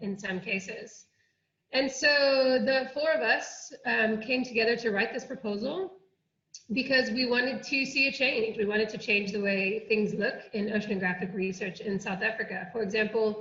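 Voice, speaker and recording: Audible room echo carries a woman's voice, fairly high in pitch with an American accent, at a moderate pace with ordinary pitch variation. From United States. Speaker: oceanography researcher. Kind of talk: online workshop presentation.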